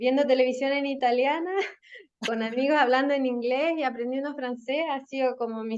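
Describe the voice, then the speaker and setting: A woman with a Chilean accent. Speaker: marketing and communications professional. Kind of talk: podcast interview.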